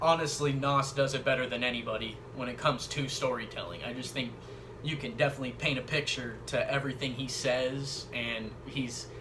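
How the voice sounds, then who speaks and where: Delivered at a fairly quick pace in a monotone, flat intonation, the speech has noticeable background noise and audible room echo. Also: man, medium pitch for a man. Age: 20s. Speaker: YouTuber discussing hip hop. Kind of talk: casual monologue, opinion video. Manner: casual, hesitant with fillers.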